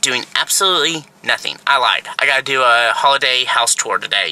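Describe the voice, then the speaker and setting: With an American accent, this voice shows ordinary pitch variation over light background noise, and the sound is dry with no echo. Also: man. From Texas. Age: 30s. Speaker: lifestyle vlogger. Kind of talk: casual vlog talk to camera. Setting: in a car. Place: car. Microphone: phone near.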